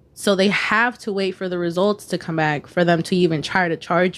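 An ordinary speaking voice from a woman, fairly low in pitch, with fairly even intonation, at a moderate pace, on a very clean recording with a silent background. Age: 20s. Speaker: podcaster. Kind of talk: casual chat.

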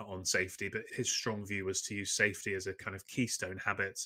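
Speaking at a fairly quick pace in a London accent, a man has a fairly low pitch and a bright, sharp tone. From England (London). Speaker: safety consultant. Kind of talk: interview.

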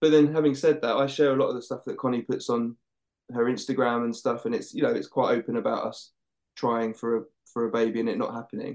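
Talking very fast with an Essex accent, a man keeps a medium pitch and fairly even intonation. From Essex, England. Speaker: paramedic. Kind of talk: casual chat.

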